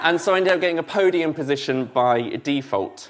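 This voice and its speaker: Speaking fairly quickly, a man with a southern English accent swings his pitch very widely. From southern England (Basingstoke, Hampshire). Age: 30s. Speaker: church learning and development lead, former student pastor. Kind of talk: sermon.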